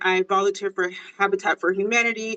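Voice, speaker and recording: At a moderate pace, this woman talks in an American accent. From Las Vegas, US. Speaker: political candidate. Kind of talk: candidate interview. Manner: halting, many fillers.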